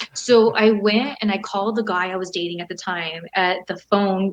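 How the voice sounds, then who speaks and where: With a Californian accent, a woman talks in an animated tone. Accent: General American (Californian). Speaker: professional wrestler and model. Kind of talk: casual interview chat. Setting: video call.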